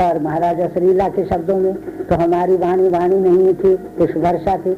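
Heard over noticeable background noise, a man speaks in a high voice with monotone, flat intonation. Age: 70s. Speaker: spiritual teacher. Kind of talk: religious discourse.

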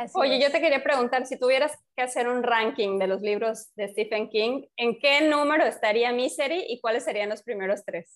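A woman talks at a moderate pace with hardly any pauses, her high-pitched voice showing ordinary pitch variation. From Mexico, Yucatán (Mérida). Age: 30s. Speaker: podcast co-host. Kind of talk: casual chat.

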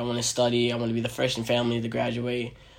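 A man with an American accent talks at a very fast pace in a medium pitch, his intonation flat and monotone, with noticeable background noise behind him. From New York. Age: 20s. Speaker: podcast host. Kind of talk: casual chat. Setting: at home.

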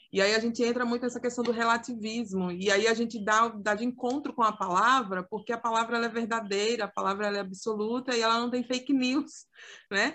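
A woman speaks fairly quickly at a fairly high pitch. Her tone is bright and sharp, her intonation fairly even. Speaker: youth ministry podcast co-host. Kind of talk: casual chat. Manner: talkative.

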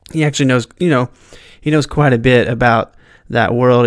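Delivery is fairly quick, with an American accent. The intonation stays fairly even. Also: man. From southern Indiana, US. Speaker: podcast host, beginning filmmaker. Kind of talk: casual solo monologue. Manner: hesitant, many fillers.

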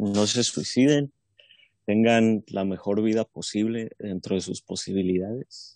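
A man with a plain, everyday voice talks at a fairly slow pace in a fairly low pitch with fairly even intonation, the sound dry and close with no echo over a quiet background. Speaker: podcast co-host. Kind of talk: casual chat.

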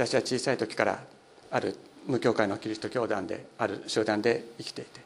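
Speaking at a fairly quick pace, a man with a medium-pitched voice keeps his intonation monotone and flat. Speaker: pastor. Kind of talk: sermon.

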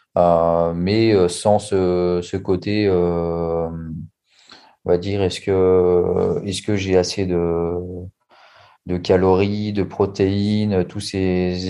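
A man talks in a very deep, low pitch with a dark, mellow tone. His intonation is flat and monotone. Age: 30s. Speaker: restaurant waiter, coaching client. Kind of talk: testimony interview. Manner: halting.

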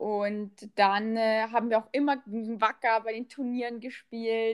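This woman talks at a fairly slow pace. Her pitch is fairly high. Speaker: podcast host, former footballer. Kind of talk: casual chat. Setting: remote call.

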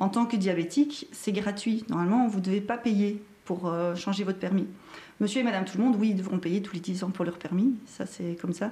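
The speech moves at a fairly quick pace with ordinary pitch variation. Noticeable background noise sits behind it. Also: woman, medium pitch for a woman. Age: 40s. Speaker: driving instructor. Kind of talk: live-stream interview. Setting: Facebook live stream.

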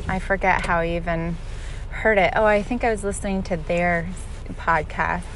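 The room echo is audible. A woman speaks with fairly even intonation. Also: medium pitch for a woman, moderate pace. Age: 30s. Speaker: podcaster on spiritual practice. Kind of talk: solo reflective monologue. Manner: halting, stuttering.

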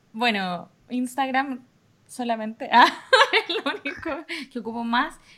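A woman speaks in a high pitch with a Chilean accent and lively intonation. Her speech has long, frequent pauses. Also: fairly slow pace. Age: 20s. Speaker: university staff worker. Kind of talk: casual chat. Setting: video call.

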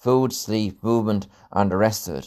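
On a very clean recording with a silent background, a man with an Irish Midlands accent speaks in a fairly low voice with ordinary pitch variation. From Ireland, County Laois. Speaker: fitness coach and podcast host. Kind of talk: solo podcast monologue. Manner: casual with frequent fillers.

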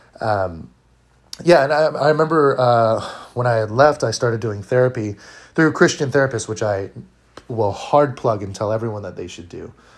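A man with a Californian accent speaks at a medium pitch with ordinary pitch variation and big swings in loudness. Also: moderate pace. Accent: Californian American. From US West Coast, Orange County, California. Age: 20s. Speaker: artist. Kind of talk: personal testimony. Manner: halting, many fillers and repeats.

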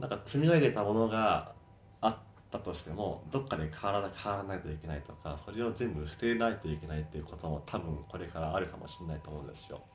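A man talks very fast with lively intonation and a somewhat breathy voice. His loudness swings a lot, and the room echo is audible. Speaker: fitness instructor. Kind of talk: interview. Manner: halting.

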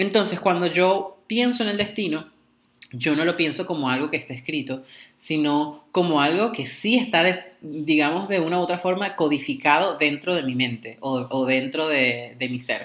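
At a moderate pace, a man speaks in a fairly high pitch with lively intonation. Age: 20s. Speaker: podcast co-host, tarot and astrology practitioner. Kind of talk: casual chat. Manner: halting, repeats words.

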